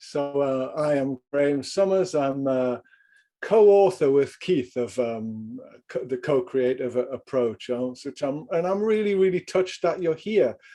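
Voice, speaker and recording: Spoken at a moderate pace, this voice has a dark, mellow tone, lively intonation and a slight Geordie accent. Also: man, fairly high pitch for a man. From northern England, Newcastle upon Tyne. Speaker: executive coach and leadership trainer. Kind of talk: video call group introduction. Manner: halting.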